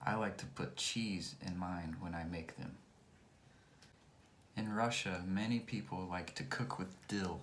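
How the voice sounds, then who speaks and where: A very deep, low male voice with an American accent, ordinary pitch variation and a very slow pace, plus audible room echo. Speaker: English teacher. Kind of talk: tutorial. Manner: clear.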